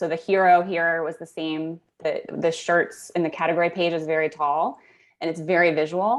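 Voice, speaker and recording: A woman in a normal speaking voice, fairly low in pitch, at a moderate pace against a quiet background. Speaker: conversion optimization specialist. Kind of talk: webinar store critique.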